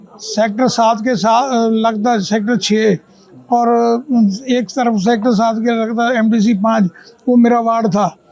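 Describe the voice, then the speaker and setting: The delivery is monotone and flat, with very even loudness. Background noise is noticeable. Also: man, extremely high pitch for a man. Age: 70s. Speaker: re-elected local councillor. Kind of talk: on-the-spot interview.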